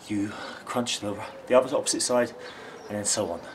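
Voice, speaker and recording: Light background noise accompanies this man, who speaks at a moderate pace. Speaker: football fitness coach. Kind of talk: tutorial. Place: street. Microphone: phone near.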